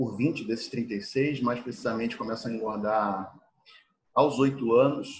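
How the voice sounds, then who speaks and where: The man's voice is somewhat breathy, with a medium pitch. He keeps a moderate pace and fairly even intonation. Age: 30s. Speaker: weight-loss coach. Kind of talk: interview. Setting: video call. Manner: halting, filler words.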